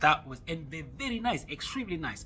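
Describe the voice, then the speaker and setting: A man speaks with an Ivorian accent. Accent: Ivorian accent in French and Jula. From Ivory Coast. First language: French or Jula. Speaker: travel vlogger. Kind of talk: casual vlog monologue. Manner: halting, many fillers and repetitions.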